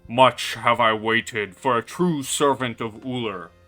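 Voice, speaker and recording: A man's booming, put-on character voice at medium pitch, moderate pace, with faint music in the background. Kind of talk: archaic, formal. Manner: commanding, ancient.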